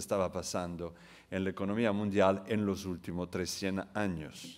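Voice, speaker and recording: Against a silent background in a very clean recording, a man speaks with an Italian accent at a fairly low pitch. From Italy. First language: Italian (speaking Spanish). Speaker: international economist, keynote speaker. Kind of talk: conference keynote lecture.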